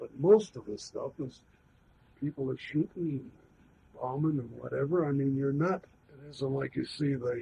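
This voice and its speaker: A man's fairly high, somewhat breathy voice with an American accent, moderate in pace, with ordinary pitch variation, big swings in loudness, and long, frequent pauses. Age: 70s. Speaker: war veteran. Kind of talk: oral history interview. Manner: halting.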